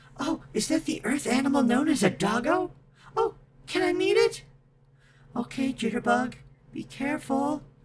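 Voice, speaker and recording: A put-on character voice speaks at a high pitch and a moderate pace. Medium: solo performance. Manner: eager, excitable.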